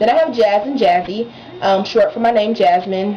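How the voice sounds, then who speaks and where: With noticeable background noise in the recording, the talking goes at a fairly quick pace. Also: woman. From Texas, San Antonio. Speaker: beauty vlogger. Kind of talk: casual vlog talk. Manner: chatty, relaxed.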